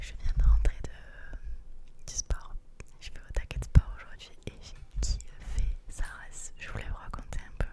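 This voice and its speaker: A woman is whispering at a fairly slow pace amid noticeable background noise. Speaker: university student. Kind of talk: casual ASMR chat. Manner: whispered.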